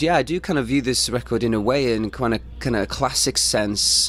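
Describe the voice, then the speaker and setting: The man's delivery is fairly quick. Background noise can be clearly heard. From North Wales (Mold area). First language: Welsh. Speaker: rock band musician. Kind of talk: radio interview.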